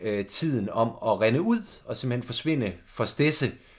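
The recording is very clean and the background silent. A man talks with ordinary pitch variation. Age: 20s. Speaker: podcast host. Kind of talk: casual chat. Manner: halting.

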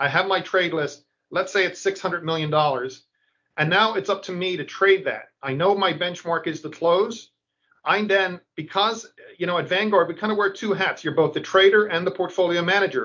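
In an Irish accent, a man talks at a moderate pace and a high pitch with ordinary pitch variation. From Ireland. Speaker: index fund portfolio manager. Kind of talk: interview.

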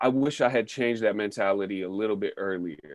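With ordinary pitch variation, this man delivers his words at a moderate pace. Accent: American. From northern California (Sebastopol, Bay Area). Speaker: rapper. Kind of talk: casual chat.

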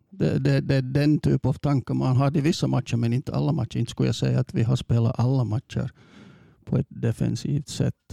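A man with an English accent, medium in pitch, at a fairly quick pace and with very wide pitch swings, in a dry, close sound with no echo and music in the background. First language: English (speaking Swedish). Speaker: football coach. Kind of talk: interview. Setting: studio. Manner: halting.

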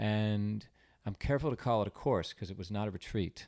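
On a very clean recording with a silent background, a man talks at a fairly low pitch with ordinary pitch variation. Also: dry, close sound with no echo. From California, San Diego. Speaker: artist. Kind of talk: casual chat.

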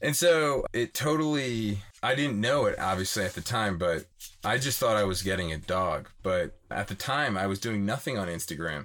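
A man speaks at a moderate pace with fairly low pitch and lively intonation, in a plain, everyday voice. The recording is very clean, with a silent background. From Philadelphia area, US. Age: 30s. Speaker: van life dog owner.

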